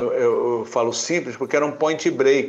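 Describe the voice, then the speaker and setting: A man speaks at a moderate pace. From Laguna, Santa Catarina, southern Brazil. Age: 60s. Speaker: surf competition judge. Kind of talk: casual chat.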